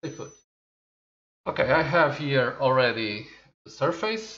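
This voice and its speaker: A man with a fairly high pitch. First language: Portuguese. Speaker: tech reviewer. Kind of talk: product review. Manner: halting.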